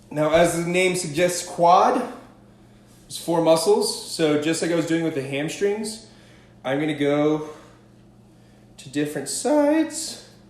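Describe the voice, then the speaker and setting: Against noticeable background noise and audible room echo, a man with a high pitch and upbeat tone talks at a fairly slow pace, with ordinary pitch variation, big swings in loudness and long, frequent pauses. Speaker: stretching coach. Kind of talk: live fitness tutorial. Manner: casual, upbeat.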